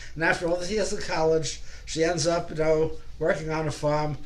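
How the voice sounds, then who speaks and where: With noticeable background noise and audible room echo, a man talks at a moderate pace in a fairly high pitch and a flat, monotone intonation. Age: 80s+. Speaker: folk singer, club member. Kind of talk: casual introduction to a song. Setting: video call. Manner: halting.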